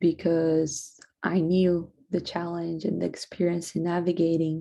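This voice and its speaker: A woman with a Portuguese accent speaks at a very slow pace in a fairly low pitch, with a dark, mellow tone and monotone, flat intonation, on a very clean recording with a silent background. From Brazil. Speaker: student. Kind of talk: class presentation. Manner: halting.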